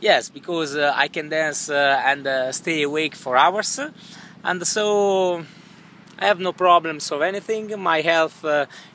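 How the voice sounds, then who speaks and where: The voice has an Italian accent, and the sound is dry with no echo. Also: man. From northern Italy, Milan; northern Italy. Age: 30s. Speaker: YouTuber, contest applicant; YouTuber. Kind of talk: audition video. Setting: outdoors by a swimming pool. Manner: halting, many fillers. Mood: relaxed, laid-back. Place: garden. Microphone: phone near.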